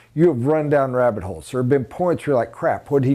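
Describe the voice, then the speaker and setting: Against a quiet background, this voice has a dark, mellow tone and an American accent. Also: man. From USA. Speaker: sales trainer. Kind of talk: training lecture. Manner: emphatic. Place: classroom. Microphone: lapel.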